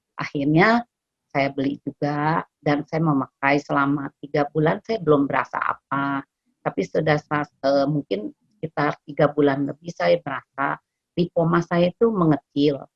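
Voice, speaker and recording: Recorded dry and close with no echo, a woman with a very deep, low pitch talks at a moderate pace with ordinary pitch variation. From Indonesia, West Java (Bandung). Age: 60s. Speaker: customer giving testimonial. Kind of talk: testimony. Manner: halting, many fillers.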